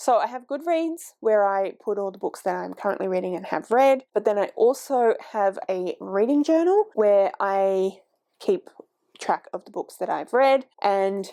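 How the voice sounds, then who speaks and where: Speaking at a fairly slow pace, a woman with an Australian accent has a fairly high pitch, a dark, mellow tone and very wide pitch swings. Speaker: book vlogger. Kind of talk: casual vlog talk. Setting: home filming, heater on.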